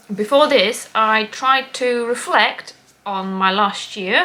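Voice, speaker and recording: The speaker has a Latvian accent and lively intonation. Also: woman. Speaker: craft podcaster. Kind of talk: casual chat. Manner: hesitant, many ums.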